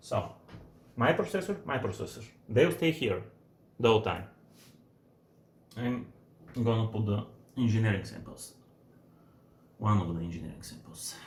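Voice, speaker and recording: A man's medium-pitched voice with vocal fry and a non-native accent, broken by long, frequent pauses. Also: moderate pace. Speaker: computer hardware user filming a support video. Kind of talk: unedited hands-on demonstration. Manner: halting, many false starts.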